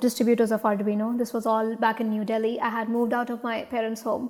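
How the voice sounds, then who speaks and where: A woman's fairly high-pitched voice with an Indian accent. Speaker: startup founder. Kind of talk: interview. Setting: studio. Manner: halting.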